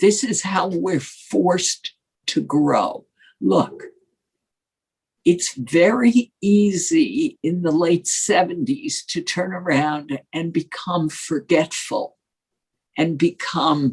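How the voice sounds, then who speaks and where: With an American accent, a woman speaks very slowly in a somewhat breathy, fairly low voice, her intonation lively. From New York, Brooklyn. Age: 70s. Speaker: former journalist. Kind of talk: interview. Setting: podcast.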